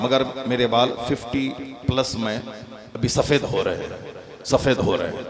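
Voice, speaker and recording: A medium-pitched man's voice over noticeable background noise. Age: 50s. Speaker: Islamic cleric. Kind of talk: religious speech. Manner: animated.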